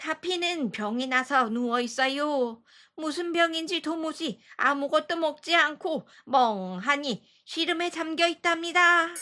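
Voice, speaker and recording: A woman's high, put-on character voice, fairly slow yet with hardly any pauses. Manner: worried.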